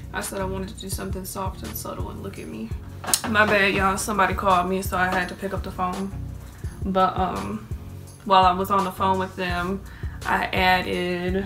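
Over clear background music, a woman speaks at a fairly quick pace with big swings in loudness. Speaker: beauty vlogger. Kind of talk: casual makeup tutorial chat. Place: home room. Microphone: phone near.

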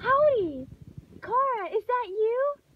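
In a put-on character voice, a woman speaks softly with an extremely high, squeaky pitch. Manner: cheerful, cartoonish.

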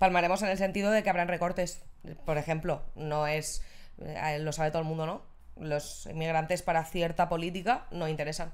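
A woman with an unremarkable speaking voice talks at a fairly quick pace. Her pitch is fairly low and her intonation fairly even. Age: 30s. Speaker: social integration worker; podcast guest. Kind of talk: casual chat. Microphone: handheld.

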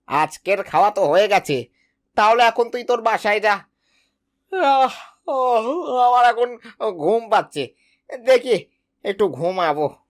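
This is a cartoonish character voice with a fairly high pitch. The recording is very clean, with a silent background. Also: moderate pace. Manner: sly, indulgent.

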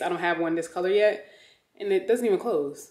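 A woman talks at a very fast pace, with audible echo from the room. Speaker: fashion vlogger. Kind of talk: casual vlog chat. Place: home room. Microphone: phone near.

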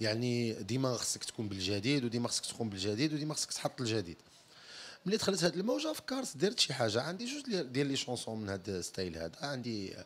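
Pitch swings very widely as the speaker talks at a fairly quick pace. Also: man. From Morocco, Tetouan; Morocco. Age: 30s. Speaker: singer; interviewee. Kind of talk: interview. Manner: halting. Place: empty room. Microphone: handheld.

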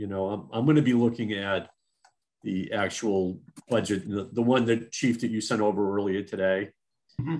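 Speaking at a moderate pace, a man has a plain, everyday voice, pitched fairly low with ordinary variation. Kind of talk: meeting discussion, opening questions. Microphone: video call.

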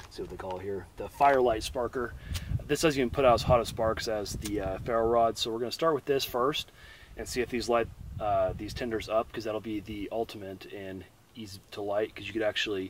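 Delivered at a fairly quick pace with ordinary pitch variation, the voice sounds dry with no echo over light background noise. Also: man. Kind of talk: tutorial. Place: open country.

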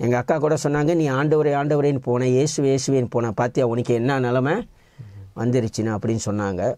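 With a quiet background and a dry sound free of echo, the voice keeps a very even loudness and ordinary pitch variation. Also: man. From Malaysia. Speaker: evangelist. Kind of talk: testimony. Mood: earnest, emotional storytelling. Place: studio. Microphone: lapel.

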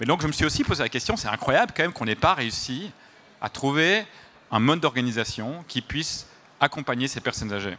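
A man with a slight Belgian accent and medium pitch talks at a fairly quick pace, his bright, sharp tone paired with lively intonation.

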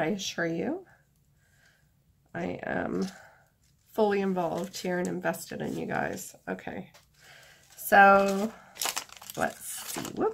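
A woman talks at a very slow pace with long, frequent pauses. Light background noise sits behind her. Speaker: artist. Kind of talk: tutorial. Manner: low-energy.

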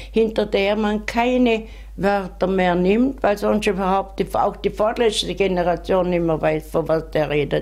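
A woman with a Vorarlberg accent speaks at a fairly slow pace against a quiet background. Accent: Vorarlberg Alemannic. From Bludenz, Vorarlberg, Austria. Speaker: author. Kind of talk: interview answer. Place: home room. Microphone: handheld.

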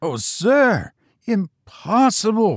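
A man uses a put-on character voice, high in pitch with very wide pitch swings. He goes at a very slow pace, and the sound is dry and close with no echo. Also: very clean recording, silent background.

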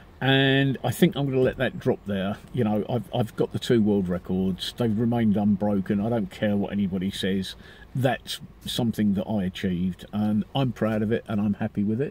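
Speaking in a British accent, a man uses a fairly low pitch, a moderate pace and ordinary pitch variation. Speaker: vlogger. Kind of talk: casual monologue. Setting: outdoors, parked car area. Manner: halting.

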